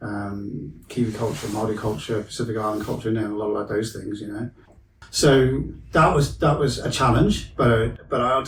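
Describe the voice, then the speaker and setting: A man talks at a moderate pace. There is audible room echo and noticeable background noise. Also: medium pitch for a man, ordinary pitch variation. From Wales. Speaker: mental health counsellor. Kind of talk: podcast interview. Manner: casual, hesitant with fillers.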